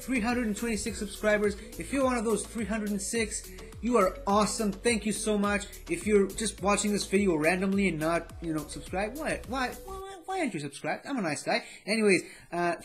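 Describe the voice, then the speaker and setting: Over faint background music, a man with a high pitch talks at a fairly quick pace with ordinary pitch variation. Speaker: vlogger. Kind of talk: casual vlog chat. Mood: grateful, warm. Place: home room.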